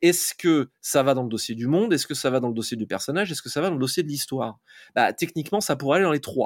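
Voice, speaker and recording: In a very clean recording with a silent background, a man speaks at a very fast pace with lively intonation, the sound dry and close with no echo. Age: 40s. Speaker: fantasy author. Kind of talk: interview. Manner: hesitant, many fillers.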